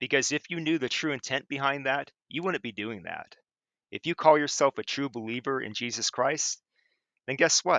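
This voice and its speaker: Moderate in pace, a man's fairly high voice shows ordinary pitch variation. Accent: Midwestern American. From Chillicothe, Ohio, USA. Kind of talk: angry rant to camera. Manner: raised voice, forceful.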